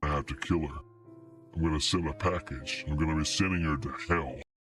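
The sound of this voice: In a put-on character voice, a man growls with a menacing tone at a very deep, low pitch, moving at a fairly quick pace with ordinary pitch variation over faint background music.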